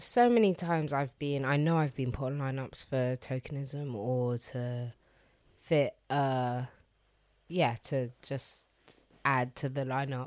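Over a very clean recording with a silent background, the speech moves very slowly with fairly even intonation. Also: woman, very deep, low pitch for a woman. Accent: London. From London. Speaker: DJ and radio presenter. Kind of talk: casual chat.

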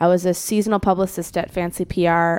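The very clean recording, with a silent background, carries a woman speaking with an American accent. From US Midwest, Chicago suburbs (Skokie, Illinois). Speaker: musician and internet music organizer. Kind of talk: casual chat.

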